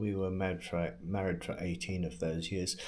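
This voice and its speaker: A man with an American accent, with audible room echo. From England. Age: 60s. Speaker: vlogger. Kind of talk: personal monologue. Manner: halting.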